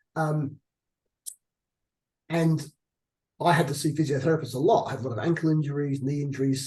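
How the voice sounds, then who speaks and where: Somewhat breathy, a man with an Australian accent speaks in a dark, mellow tone. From Australia, Adelaide. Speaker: hospital chief executive. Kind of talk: interview. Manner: halting.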